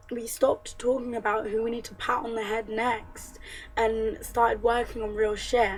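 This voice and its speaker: Music plays in the background while a woman talks. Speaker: feminist vlogger. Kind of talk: casual talk to camera.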